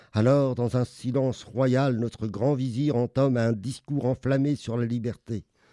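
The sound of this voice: An unforced reading voice, intonation fairly even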